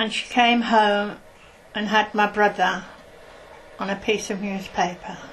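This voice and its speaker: Amid noticeable background noise, a woman with a Birmingham accent speaks at a medium pitch and a fairly slow pace, in a monotone, flat intonation with long, frequent pauses. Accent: Birmingham (Brummie). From Birmingham, England (Hockley). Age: 70s. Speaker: oral history interviewee. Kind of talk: oral history interview.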